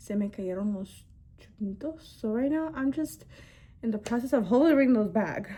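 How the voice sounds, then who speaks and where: A woman with a fairly high pitch speaks in a somewhat breathy voice with a dark, mellow tone. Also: moderate pace. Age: 20s. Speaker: beauty vlogger. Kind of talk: get-ready-with-me casual chat. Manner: casual, many fillers.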